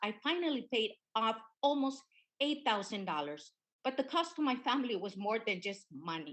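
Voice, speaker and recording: With a Spanish accent, a woman talks at a fairly high pitch that swings very widely. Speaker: witness at congressional hearing. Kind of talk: testimony. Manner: halting.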